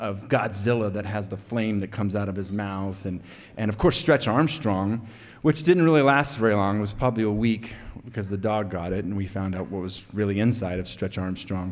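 A man's fairly low voice with an American accent and ordinary pitch variation, with audible room echo. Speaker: storyteller. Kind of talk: live storytelling. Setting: stage with audience.

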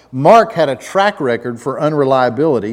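Pitched fairly high, a man with a Southern US accent swings very widely in pitch. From US South, Atlanta, Georgia. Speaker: pastor. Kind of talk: sermon.

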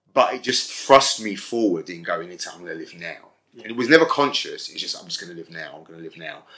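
A man talks at a very fast pace. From South London (Brixton), Jamaican family. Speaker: HIV activist and magazine co-editor. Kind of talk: interview. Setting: at his home.

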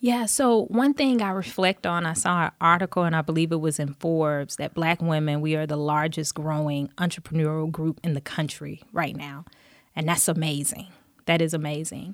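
A woman with an American accent and a very deep, low pitch speaks at a moderate pace with ordinary pitch variation, in a dry, close sound with no echo and a very clean recording with a silent background. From US South, Dothan, Alabama. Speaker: business owner. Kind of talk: interview.

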